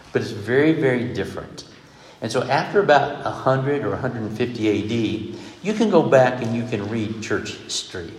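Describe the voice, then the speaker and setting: A man with an American accent speaks at a moderate pace and medium pitch, with ordinary pitch variation. Noticeable background noise runs behind him. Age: 60s. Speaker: preacher. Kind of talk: sermon. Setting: stage with audience.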